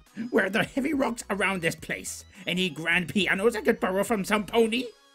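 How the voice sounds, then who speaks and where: Faint music plays as a man does a high-pitched put-on character voice at a fairly quick pace. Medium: read story. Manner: theatrical, melodramatic.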